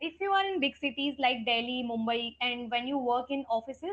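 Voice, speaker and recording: This woman has a high voice and an Indian accent. She talks at a fairly quick pace. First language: Hindi. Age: 20s. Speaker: English trainer. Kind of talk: casual chat.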